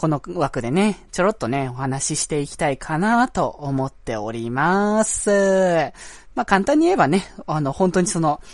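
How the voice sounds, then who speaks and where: Over a quiet background, a man with a high pitch talks at a moderate pace, his intonation lively. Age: 20s. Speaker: amateur podcast host. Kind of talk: casual solo talk. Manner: hesitant, many fillers.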